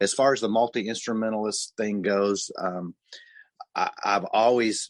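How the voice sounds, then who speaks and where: A normal speaking voice in an American accent, fairly even in intonation, dry and close with no echo over a quiet background. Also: man. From US Midwest (southern Missouri, Ozarks). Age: 60s. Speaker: musician and music producer. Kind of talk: casual interview.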